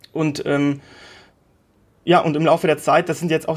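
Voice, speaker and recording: This man's pitch sits high. He talks at a moderate pace. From Lithuania, moved to Germany at primary-school age. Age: 30s. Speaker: entrepreneur. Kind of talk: interview. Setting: video call. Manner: hesitant, many fillers and repetitions.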